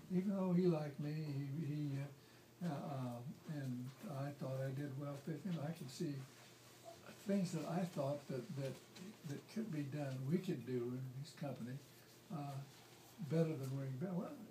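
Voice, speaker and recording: A man with an American accent, fairly high for a man, at a fairly slow pace with long, frequent pauses, ordinary pitch variation and noticeable background noise. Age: 80s+. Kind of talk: family storytelling, life story. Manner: rambling, hesitant.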